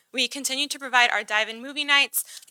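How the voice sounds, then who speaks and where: This woman speaks high for a woman, her tone bright and sharp, in a dry, close sound with no echo. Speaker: city recreation staff presenter. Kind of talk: presentation at council meeting. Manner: fast.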